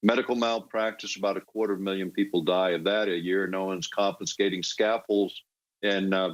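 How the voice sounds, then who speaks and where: In a very clean recording with a silent background, a man speaks at a moderate pace. His pitch is fairly low, with fairly even intonation. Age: 60s. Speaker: political commentator. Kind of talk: political talk. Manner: halting, many fillers.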